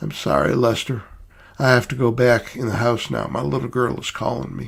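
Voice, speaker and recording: Putting on a character voice, a raspy man speaks at a moderate pace and medium pitch. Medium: read story. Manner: soft, mild.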